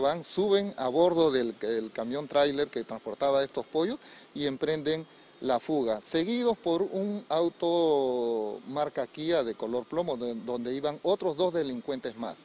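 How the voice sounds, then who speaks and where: A man's fairly high-pitched voice with a dark, mellow tone, lively intonation and a fairly slow pace, in a dry sound with no echo. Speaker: police officer. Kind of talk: press briefing. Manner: formal. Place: street. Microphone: handheld.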